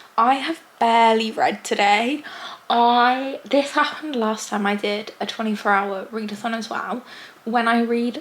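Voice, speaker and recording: Noticeable background noise sits behind a woman who speaks fairly slowly in a fairly high voice with ordinary pitch variation. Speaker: booktuber. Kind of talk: casual vlog talk to camera.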